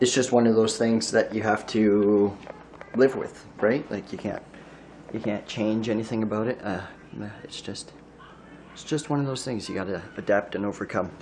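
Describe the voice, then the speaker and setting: A man with a fairly low pitch talks at a moderate pace, pausing long and often. His intonation is fairly even, and background noise is noticeable. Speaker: vlogger. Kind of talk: casual monologue. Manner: halting, repeats words.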